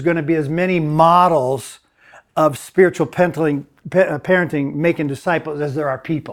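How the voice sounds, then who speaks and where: A moderate pace and ordinary pitch variation, with an American accent and a normal speaking voice. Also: man. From US, Mennonite community. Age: 60s. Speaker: discipleship school director and adjunct professor. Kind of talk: conference talk. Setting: conference session with audience.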